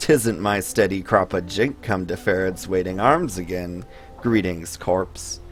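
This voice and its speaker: A man speaks at a fairly slow pace in a put-on character voice, very deep and low in pitch. His tone is raspy, with clear music in the background. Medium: actual play. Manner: mumbling, repetitive, wheedling.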